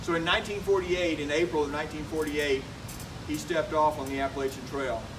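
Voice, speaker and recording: Over noticeable background noise and audible room echo, a man talks at a very fast pace with a fairly high pitch and fairly even intonation. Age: 60s. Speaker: retired military officer and hiking vlogger. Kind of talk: public talk. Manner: halting.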